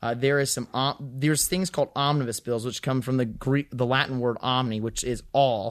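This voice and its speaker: An American-accented man speaks at a moderate pace with medium pitch. His intonation is fairly even, and he hardly pauses at all. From Western North Carolina. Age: 20s. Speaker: congressional candidate. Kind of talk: interview. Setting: studio. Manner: halting, many fillers.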